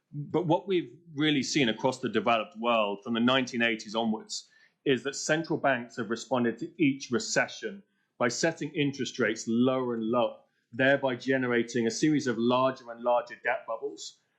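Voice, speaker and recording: A man with a British accent talks at a fairly quick pace. His medium-pitched voice shows ordinary pitch variation. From Britain. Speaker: policy speaker. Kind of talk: conference speech. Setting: panel event at a think tank.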